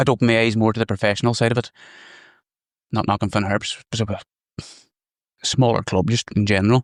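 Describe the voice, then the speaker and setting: Speaking very fast with monotone, flat intonation, a man talks in a Donegal accent. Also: dry, close sound with no echo, very clean recording, silent background. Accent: Donegal accent, brogue. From Ireland, County Donegal. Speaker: golf course superintendent. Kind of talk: casual interview chat.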